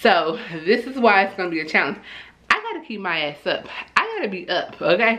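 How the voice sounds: In a bright, sharp tone, a woman at medium pitch talks at a fairly quick pace with big pitch swings, and audible echo fills the room.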